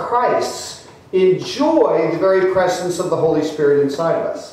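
A man talks at a very slow pace. Strong room echo fills the recording. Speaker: clergyman preaching. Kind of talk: sermon. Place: church.

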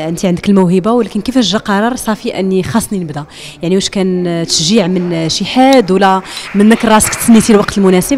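A woman with a normal speaking voice talks at medium pitch and a fairly quick pace, with hardly any pauses and ordinary pitch variation, over light background noise. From Morocco. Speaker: interviewer for a women's website. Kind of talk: interview. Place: hall. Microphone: handheld.

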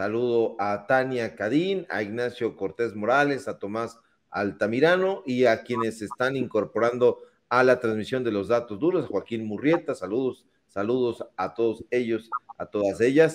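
A man talks at a fairly slow pace with ordinary pitch variation in a quiet setting. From Mexico. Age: 40s. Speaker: political talk show host. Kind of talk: online political talk show. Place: home room. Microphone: studio mic.

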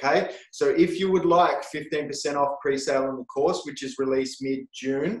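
Against a quiet background with audible room echo, a man talks with an Australian accent at a moderate pace, hardly pausing. His pitch is fairly high and his intonation fairly even. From Australia, rural New South Wales. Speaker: webinar host, education company founder; webinar host. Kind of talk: webinar hosting. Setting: video call. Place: office. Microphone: webcam.

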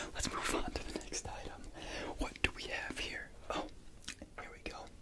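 A man is speaking. He whispers. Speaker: ASMR creator. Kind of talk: ASMR whispered tapping video, soft guiding narration. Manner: whispered, soft-spoken, slow, laid back. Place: home room. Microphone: studio mic.

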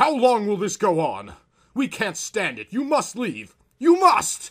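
A man speaks in a put-on character voice, pitched high. His pitch swings very widely at a fairly slow pace. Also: big swings in loudness. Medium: read story.

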